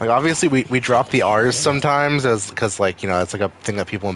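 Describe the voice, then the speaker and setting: A man speaks in a Maine accent with ordinary pitch variation. Noticeable background noise is present. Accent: New England (Maine) accent, drops R's. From Maine, US. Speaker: streamer. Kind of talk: casual chat. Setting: live stream. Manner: animated.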